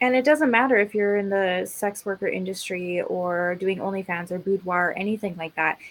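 With a Canadian accent and a plain, everyday voice, a woman talks at a fairly quick pace and medium pitch, with ordinary pitch variation and hardly any pauses. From Alberta, Canada. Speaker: podcast co-host, cosplayer. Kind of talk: casual chat.

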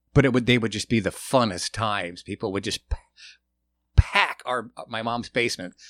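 This is an unremarkable speaking voice from a man with an American accent, at a medium pitch and moderate pace. The sound is dry and close, with no echo. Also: fairly even intonation. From US Pacific Northwest, Portland, Oregon. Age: 50s. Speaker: rock drummer. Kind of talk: casual chat.

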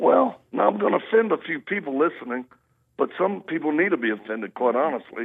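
At a very fast pace, a man speaks at a fairly high pitch with very wide pitch swings. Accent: Southern US. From US South (Louisiana, Mississippi, Texas). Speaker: ministry founder and Marine veteran. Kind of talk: interview testimony.

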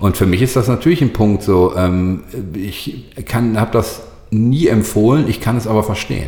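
A somewhat breathy voice moves at a moderate pace with lively intonation. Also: man, fairly low pitch for a man. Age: 40s. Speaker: social media agency owner. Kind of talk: casual interview. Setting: agency office.

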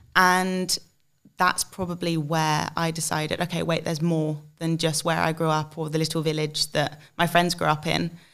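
A woman with an English accent, very deep and low in pitch, in a flat monotone, on a very clean recording with a silent background. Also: moderate pace. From England, UK. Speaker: alumna and marketing agency co-founder. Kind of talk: podcast interview.

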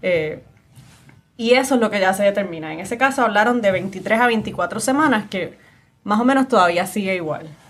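A plain, everyday voice at a moderate pace. Its pitch varies in an ordinary way. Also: woman, medium pitch for a woman. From Puerto Rico, San Juan area. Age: young. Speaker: lawyer, podcast host. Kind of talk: interview conversation.

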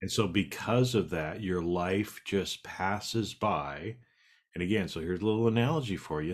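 A man speaks in an unremarkable speaking voice at a fairly low pitch, with ordinary pitch variation and a moderate pace. The recording is very clean, with a silent background. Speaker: podcast co-host. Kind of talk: casual conversational podcast.

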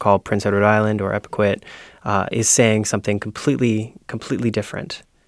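A man with a Canadian accent talks at a fairly quick pace and a fairly low pitch, in a plain, everyday voice. The recording is very clean, with a silent background. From Ontario. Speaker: education and policy coordinator. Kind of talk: panel discussion. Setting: studio.

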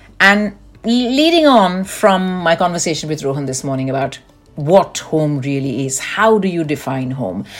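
With music in the background, a woman's pitch swings very widely as she keeps a moderate pace. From India, Delhi. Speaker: podcast co-host. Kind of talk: casual chat.

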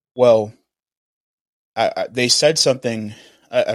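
Here is a man with an unremarkable speaking voice and ordinary pitch variation, talking at a fairly quick pace. The recording is very clean with a silent background. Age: 20s. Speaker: podcast host and youth mentor. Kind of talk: casual interview conversation.

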